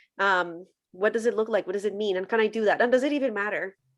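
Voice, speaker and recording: Speaking very fast with a Spanish accent, a woman shows ordinary pitch variation at a fairly high pitch. The recording is very clean, with a silent background. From Colombia. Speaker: former church worker turned social media commentator on faith. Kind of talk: podcast interview.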